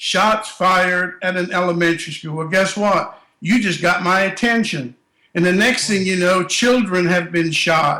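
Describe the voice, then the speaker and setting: Raising and projecting his voice, a man speaks at a fairly slow pace with a high pitch and a bright, sharp tone. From Germany, moved to US at 12. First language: German. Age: 60s. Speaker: school safety consultant. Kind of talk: interview. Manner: animated.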